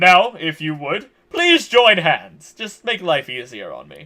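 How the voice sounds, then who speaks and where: Putting on a character voice, a man speaks fairly high for a male at a moderate pace. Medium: actual play. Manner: formal, measured.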